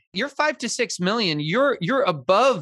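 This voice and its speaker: A man speaks with an American accent over music in the background. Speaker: podcast host and real estate broker. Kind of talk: interview. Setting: live stream.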